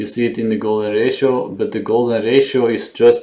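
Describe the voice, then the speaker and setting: A man is mumbling. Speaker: digital artist musing on camera. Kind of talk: casual monologue. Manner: halting.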